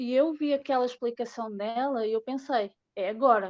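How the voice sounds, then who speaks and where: A woman with a Portuguese accent, a high pitch, fairly even intonation, and a moderate pace. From Portugal. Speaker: crypto investor. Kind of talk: casual chat.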